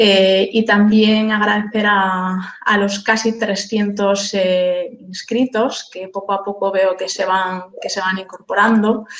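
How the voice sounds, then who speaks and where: Speaking in an Asturian accent, a woman keeps a medium pitch and monotone, flat intonation at a very slow pace with hardly any pauses. Noticeable background noise sits behind her. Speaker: lawyer and webinar moderator. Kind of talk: webinar introduction. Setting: online webinar. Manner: halting, many fillers and repetitions.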